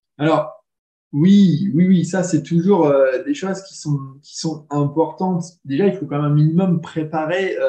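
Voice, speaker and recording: Fairly slow and fairly even in intonation, a man speaks in a high voice with a dark, mellow tone. His loudness swings a lot. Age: 30s. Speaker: dog trainer. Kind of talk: casual chat.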